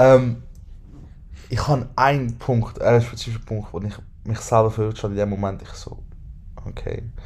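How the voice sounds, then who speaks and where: Heard with audible room echo, a man of medium pitch speaks at a moderate pace with fairly even intonation, big swings in loudness, and long, frequent pauses. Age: 20s. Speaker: podcast host. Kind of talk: casual chat.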